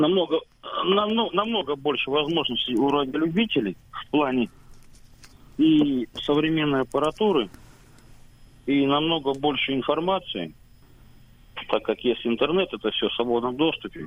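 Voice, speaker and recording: At a moderate pace broken by long, frequent pauses, a man speaks in a fairly high pitch with lively intonation. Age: 40s. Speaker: radio amateur. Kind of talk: radio interview.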